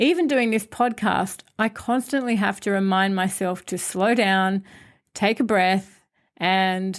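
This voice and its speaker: In a very clean recording with a silent background, a woman uses an ordinary speaking voice. Her pitch is medium, her pitch variation ordinary, and her pace fairly slow. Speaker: podcast host. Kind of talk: scripted podcast monologue.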